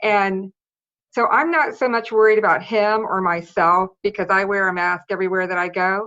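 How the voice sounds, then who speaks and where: A woman at a moderate pace, medium pitch and ordinary pitch variation, a plain, everyday voice. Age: 60s. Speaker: public commenter at county meeting. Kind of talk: public comment.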